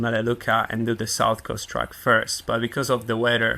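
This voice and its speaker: With a Polish accent, a man talks at a moderate pace and medium pitch in a bright, sharp tone. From Poland. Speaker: park ranger and trail runner. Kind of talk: podcast interview answer. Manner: understated, humble.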